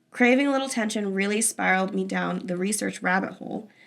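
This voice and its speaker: A woman puts on a raspy character voice of medium pitch at a fairly quick pace. The recording is very clean with a silent background. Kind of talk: casual podcast story reading. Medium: solo performance. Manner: casual, conversational.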